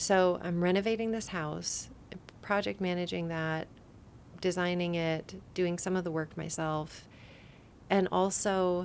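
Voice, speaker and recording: The speaker has an American accent and a fairly slow pace. The intonation is monotone and flat, with long, frequent pauses. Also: woman, fairly low pitch for a woman. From Colorado, US. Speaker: podcast host. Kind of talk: personal storytelling monologue. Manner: casual, with fillers and hesitations.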